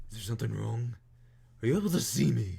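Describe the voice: Putting on a character voice, a man speaks at a very fast pace with a fairly low pitch.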